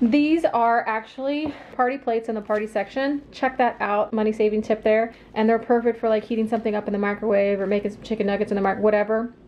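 Over light background noise, someone with an American accent talks at a very fast pace with fairly even intonation. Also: woman, fairly high pitch for a woman. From Illinois. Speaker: lifestyle YouTuber. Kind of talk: grocery haul video. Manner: casual chatty. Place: kitchen.

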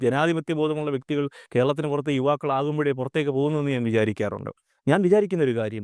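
A man uses a normal speaking voice, fairly high in pitch with ordinary pitch variation. The very clean recording has a silent background and a dry, close sound with no echo. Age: 30s. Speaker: social commentator. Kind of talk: video monologue.

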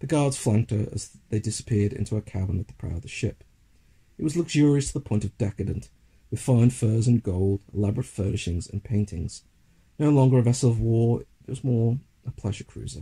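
Somewhat breathy, a man talks at a fairly quick pace with ordinary pitch variation in a dry, close sound with no echo. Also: medium pitch for a man, big swings in loudness. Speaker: audiobook narrator. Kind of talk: literary audiobook reading of a fantasy short story. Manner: measured, dramatic storytelling pace.

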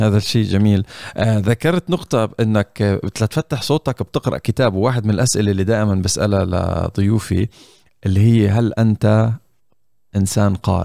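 A man with a Levantine accent speaks at a moderate pace in a fairly low, dark, mellow tone, with ordinary pitch variation and very even loudness. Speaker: podcast host. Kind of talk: casual chat. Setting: video call. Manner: animated.

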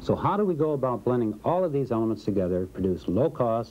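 At a fairly quick pace, a man gets his words out. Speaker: corporate film narrator. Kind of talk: vintage industrial training-film narration, scripted and promotional. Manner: formal, even-paced, polished and authoritative; measured, dry, didactic. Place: studio.

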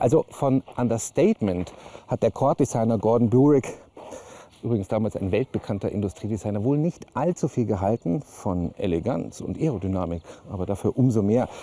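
A man speaks fairly quickly in a fairly low, dark and mellow voice with lively intonation.

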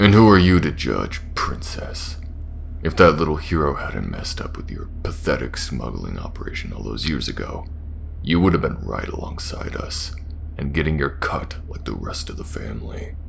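At a moderate pace, a man performs a put-on character voice over clear background noise. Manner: sneering, mocking, menacing.

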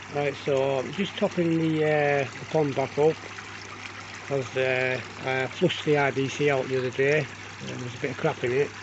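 Noticeable noise sits behind a man speaking at a moderate pace. His intonation stays fairly even. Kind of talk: casual vlog chat. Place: garden. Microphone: phone near.

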